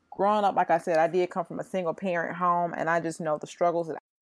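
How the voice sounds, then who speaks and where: Someone speaks with a Mississippi accent on a very clean recording with a silent background. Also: woman. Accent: US South (Mississippi). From Jackson, Mississippi. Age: 30s. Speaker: educator. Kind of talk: casual chat.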